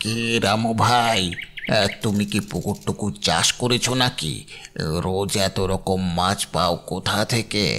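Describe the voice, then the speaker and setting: A man uses a cartoonish character voice at a fairly slow pace. Light background noise sits behind him. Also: fairly low pitch for a man. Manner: ingratiating, calls the other man "brother".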